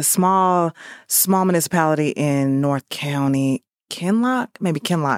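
A woman in a St. Louis accent with ordinary pitch variation, in a very clean recording with a silent background and a dry, close sound with no echo. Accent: St. Louis Midwestern American. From US Midwest, St. Louis. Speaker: podcast guest sharing life story. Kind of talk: testimony. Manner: halting.

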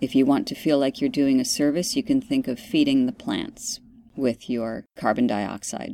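A woman's very deep, low voice with a dark, mellow, calm, soothing tone, vocal fry and very wide pitch swings, in a very clean recording with a silent background. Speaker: podcast host and meditation guide. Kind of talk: guided meditation. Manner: slow, calm, soothing, deliberately paced breathing instructions; gentle, instructive.

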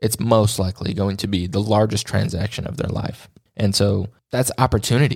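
A man talks at a fairly quick pace and fairly low pitch. He has an unremarkable speaking voice with fairly even intonation. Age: 20s. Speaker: podcast host. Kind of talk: solo monologue. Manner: casual, with filler words.

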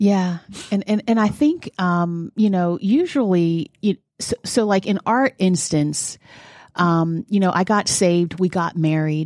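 A woman speaks in an unremarkable speaking voice at a fairly slow pace, with medium pitch and ordinary pitch variation. Her loudness stays very even, and the sound is dry and close with no echo over a quiet background. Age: 40s. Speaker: podcast co-host. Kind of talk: casual chat.

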